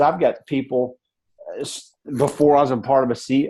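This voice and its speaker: A man with a Southern US accent has a dark, mellow tone at a fairly high pitch. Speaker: network marketing leader. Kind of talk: motivational talk on a team call. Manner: fast, mumbling; halting, repetitive.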